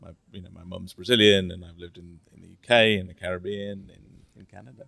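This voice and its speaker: With an English accent, a man speaks at a fairly quick pace in a very deep, low pitch, his intonation monotone and flat while his loudness swings widely. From England. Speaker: finance executive. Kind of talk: casual interview. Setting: resort during course week.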